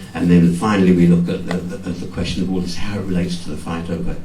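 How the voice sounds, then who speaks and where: The recording has audible room echo. Noticeable background noise is present as well. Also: man. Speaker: book author. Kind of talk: book launch talk. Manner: fast; halting.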